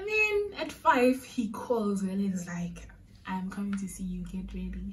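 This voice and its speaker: A woman speaks at a fairly slow pace. Light noise runs in the background. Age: 20s. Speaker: vlogger. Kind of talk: storytime vlog to camera. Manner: casual, chatty. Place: home room. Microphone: phone near.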